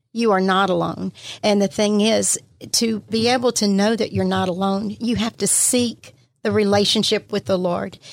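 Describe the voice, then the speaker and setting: A woman's medium-pitched voice in a Southern US accent, with ordinary pitch variation. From Mississippi, Pascagoula. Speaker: church minister. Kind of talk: testimony. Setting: studio.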